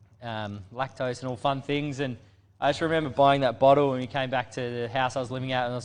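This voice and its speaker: Speaking at a very fast pace, a man keeps fairly even intonation. His pitch is medium. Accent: Australian. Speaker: brewery staff, panel regular. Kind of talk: casual chat.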